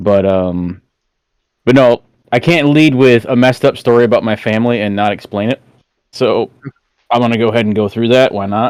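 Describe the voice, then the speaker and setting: Pausing often and at length, a man with a Southern US accent talks at a fairly quick pace, his medium pitch varying in an ordinary way. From Georgia, US South. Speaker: roofing salesman and streamer. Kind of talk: casual chat.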